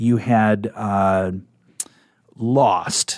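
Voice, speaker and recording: Recorded very cleanly with a silent background, a man with a Midwestern US accent speaks with fairly even intonation. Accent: US Midwest. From Nebraska. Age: 40s. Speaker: radio program director. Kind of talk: interview. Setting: studio.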